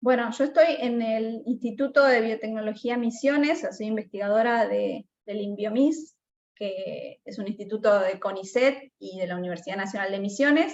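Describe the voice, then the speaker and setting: A woman speaks in a plain, everyday voice at a fairly high pitch, with ordinary pitch variation and big swings in loudness. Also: moderate pace. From Argentina, Buenos Aires province. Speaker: mycologist researcher. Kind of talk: Q&A after online talk.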